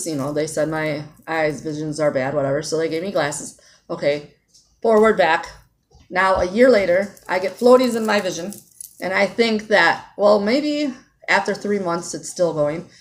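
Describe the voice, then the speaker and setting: Using a normal speaking voice, a woman of fairly low pitch talks at a moderate pace with lively intonation. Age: 40s. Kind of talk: casual talk to camera.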